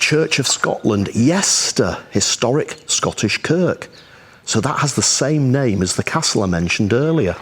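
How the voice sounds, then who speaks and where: A voice with vocal fry and very wide pitch swings moves at a fairly slow pace while its loudness stays very even. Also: man, medium pitch for a man. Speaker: travel vlogger. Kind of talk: travel vlog narration. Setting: outdoors. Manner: animated.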